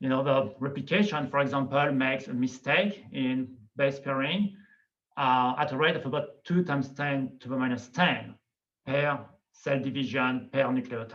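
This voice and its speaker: With a slight non-native accent, the speaker talks at a moderate pace using ordinary pitch variation. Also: man, medium pitch for a man. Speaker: biology professor. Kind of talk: lecture. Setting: video call.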